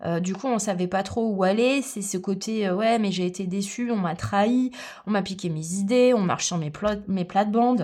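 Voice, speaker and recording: Her voice sits at a medium pitch as the woman speaks at a moderate pace with ordinary pitch variation. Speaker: tarot reader and aromatherapy coach. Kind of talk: tarot reading guidance. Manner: animated.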